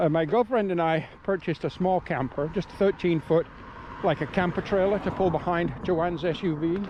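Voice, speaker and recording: Here a man speaks with a high pitch. The pace is fairly slow. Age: 60s. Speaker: hiking vlogger. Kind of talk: casual vlog narration while hiking. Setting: outdoors on trail.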